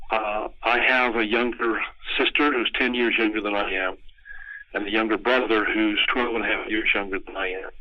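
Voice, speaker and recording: At a moderate pace, a man with an American accent and medium pitch speaks in a flat monotone. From US West, southern Utah (St. George). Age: 70s. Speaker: oral history interviewee, fallout survivor. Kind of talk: oral history interview. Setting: phone call. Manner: hesitant, many fillers.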